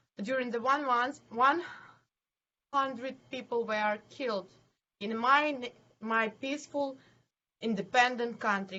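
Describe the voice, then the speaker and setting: In a Ukrainian accent, a woman speaks at a fairly slow pace. Her pitch is fairly high with ordinary variation. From Ukraine, Zhytomyr. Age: 20s. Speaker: city council member and NGO head. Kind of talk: interview. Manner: halting.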